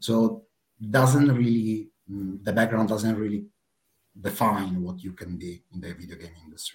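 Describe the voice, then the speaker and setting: With a normal speaking voice, a man talks at a moderate pace in a fairly low pitch, his intonation fairly even and his loudness swinging widely. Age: 30s. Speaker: player support project manager. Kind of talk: casual interview.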